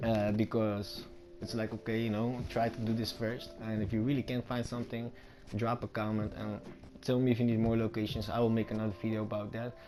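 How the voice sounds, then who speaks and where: At a fairly quick pace, a man with a non-native accent speaks at a medium pitch in a monotone with flat intonation. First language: not English. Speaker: gaming YouTuber. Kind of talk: gameplay tutorial commentary. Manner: casual, rambling with fillers.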